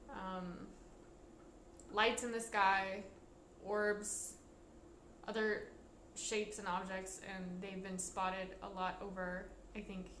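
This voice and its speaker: A woman speaks very slowly at a medium pitch, flat and monotone, with long, frequent pauses. Audible room echo and noticeable background noise surround her. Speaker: vlogger. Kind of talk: casual monologue vlog. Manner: halting.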